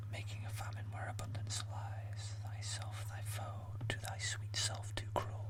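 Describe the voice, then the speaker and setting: Over noticeable background noise, a man whispers at a fairly slow pace. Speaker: amateur ASMR creator. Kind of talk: poetry reading. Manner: whispered, slow.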